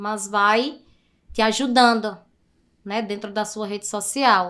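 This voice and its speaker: Very slow speech comes from a woman whose tone is bright and sharp. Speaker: digital marketing specialist. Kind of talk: podcast interview.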